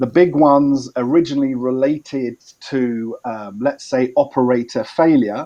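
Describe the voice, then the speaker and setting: A man is speaking here. His tone is dark and mellow. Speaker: environmental expert. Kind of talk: training presentation.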